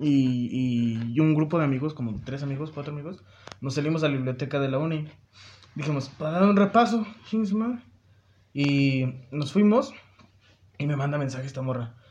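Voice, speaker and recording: Somewhat breathy and fairly high-pitched, a man talks at a moderate pace with lively intonation, broken by long, frequent pauses. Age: 20s. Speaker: university student. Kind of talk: casual chat.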